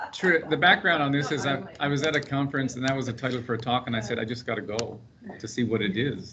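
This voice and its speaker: A man with a Canadian accent speaks at a very fast pace, medium in pitch with ordinary pitch variation. Audible room echo and noticeable background noise fill the recording. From Canada, Prince Edward Island. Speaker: paramedic researcher. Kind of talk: seminar presentation. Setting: conference room with live and online audience. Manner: casual, humorous.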